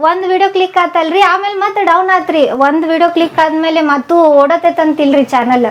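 Over noticeable background noise, a woman with a North Karnataka accent talks at an extremely high pitch with very even loudness. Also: ordinary pitch variation. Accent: North Karnataka Kannada. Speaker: cooking YouTuber. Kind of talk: interview. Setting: her home.

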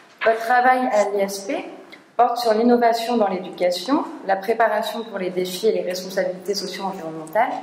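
A woman speaks at a medium speed, with room echo audible around her. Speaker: seminar co-organizer. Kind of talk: speaker introduction. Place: classroom.

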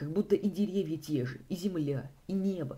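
Dark and mellow in tone with a slightly husky edge, a man speaks with lively intonation.

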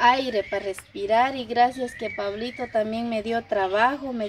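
A woman speaks at a moderate pace. There is noticeable background noise. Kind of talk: emotional personal account to camera. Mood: apologetic, earnest. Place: farm. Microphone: camera far.

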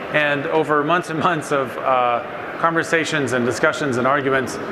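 At a moderate pace, a man speaks while noticeable background noise sits behind him. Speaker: panel moderator. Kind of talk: panel discussion remarks. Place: stage.

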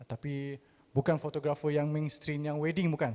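A man speaks with a dark, mellow tone. His pitch is fairly high. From Terengganu, Malaysia. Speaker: arts gallery organiser. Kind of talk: presentation. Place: hall.

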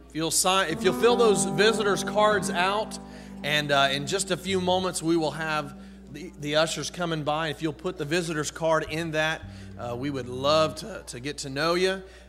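Over faint music in the background, a man speaks in a high pitch with ordinary pitch variation. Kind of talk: church announcements. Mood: friendly, joking. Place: church. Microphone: podium.

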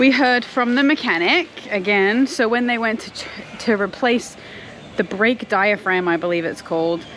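With music in the background, a woman speaks with ordinary pitch variation in a dry sound with no echo. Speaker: family vlogger. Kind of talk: casual vlog chat. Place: garden. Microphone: phone near.

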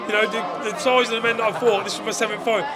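Clear music plays in the background while a man talks. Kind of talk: interview answer. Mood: emotional, announcing retirement. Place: hall. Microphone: handheld.

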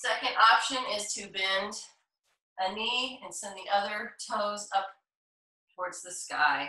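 At a fairly slow pace, a woman speaks with a medium pitch, ordinary pitch variation, big swings in loudness, and long, frequent pauses. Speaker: yoga instructor. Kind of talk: live-streamed yoga class instruction, cueing poses and breath. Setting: video call, live Zoom. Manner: calm, soothing, unhurried; encouraging, inclusive, with frequent pose cues.

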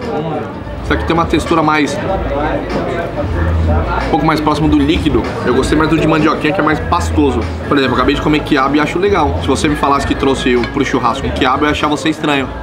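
At a very fast pace, a man speaks over clear music in the background. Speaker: food vlogger. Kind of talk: casual vlog chat while eating. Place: cafe. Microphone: camera far.

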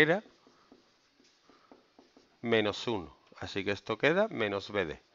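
Against a quiet background, a man talks very slowly. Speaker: math teacher. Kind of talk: lecture. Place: classroom.

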